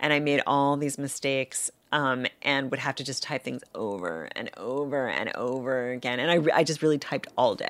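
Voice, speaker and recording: A woman with an American accent talks at a moderate pace with hardly any pauses. Her pitch is very deep and low, with ordinary variation. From New York City. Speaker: author. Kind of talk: interview. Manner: hesitant, many fillers.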